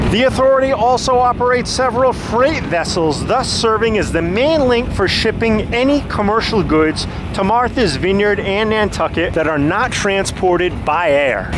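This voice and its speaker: Recorded dry with no echo, the voice moves at a moderate pace with hardly any pauses over noticeable background noise. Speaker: travel vlogger. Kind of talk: travel tour commentary. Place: boat. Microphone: phone near.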